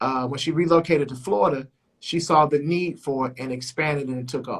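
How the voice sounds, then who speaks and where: Fairly quick, somewhat breathy speech from a man with a fairly high pitch and fairly even intonation. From Chicago. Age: 40s. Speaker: radio host. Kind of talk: interview.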